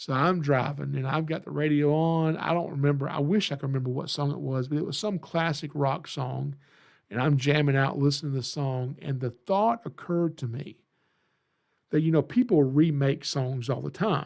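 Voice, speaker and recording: Moderate pace and ordinary pitch variation in a Southern US accent, over a quiet background. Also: man, fairly high pitch for a man. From Georgia, US South. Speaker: reptile educator and podcast host. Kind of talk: podcast monologue. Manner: casual, folksy; animated.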